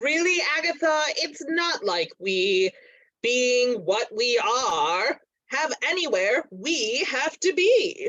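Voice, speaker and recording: A put-on character voice, high-pitched and very slow, with very wide pitch swings. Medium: stage play. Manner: wry, playful.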